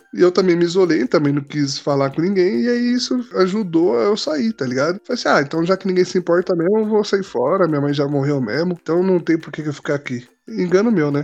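This man's pitch is high and his intonation lively. He talks at a fairly quick pace. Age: 20s. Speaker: church community member. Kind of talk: casual chat. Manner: halting.

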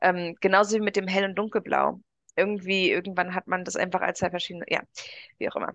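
A woman's very fast speech in a dry, close sound with no echo. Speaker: podcast co-host. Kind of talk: casual chat.

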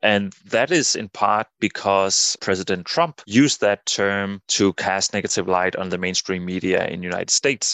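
A man with a Danish accent speaks at a moderate pace with hardly any pauses. His pitch is fairly low, with ordinary variation. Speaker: political scientist and psychologist. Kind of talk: interview. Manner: halting, many repeated words.

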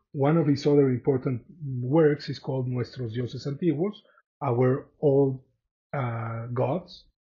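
Speaking fairly slowly, a man with a Spanish accent has a somewhat breathy, medium-pitched voice and fairly even intonation. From Mexico. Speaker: podcast host, artist and art lecturer. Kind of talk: solo art history talk. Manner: hesitant, many fillers.

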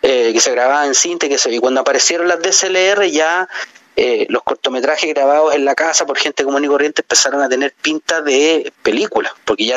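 Over noticeable background noise, a man with a fairly high pitch and ordinary pitch variation talks at a moderate pace. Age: 40s. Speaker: film director. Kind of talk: interview. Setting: phone call. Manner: halting.

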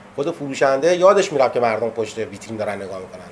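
A man at a very fast pace with very wide pitch swings, amid noticeable background noise. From Abadan, southwestern Iran (Khuzestan). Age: 50s. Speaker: musician. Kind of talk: interview. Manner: halting.

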